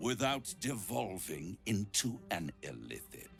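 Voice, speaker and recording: Put-on character voice from a man, theatrical in tone and fairly low in pitch, over clear music in the background. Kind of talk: video game voice acting. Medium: video game. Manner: silky, theatrical, condescending.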